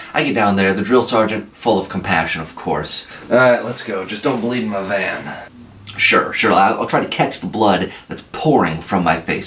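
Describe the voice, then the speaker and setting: With an American accent, a man speaks at a moderate pace in a fairly low pitch, with noticeable background noise and audible room echo. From Iowa. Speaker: army veteran. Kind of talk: storytelling. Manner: animated.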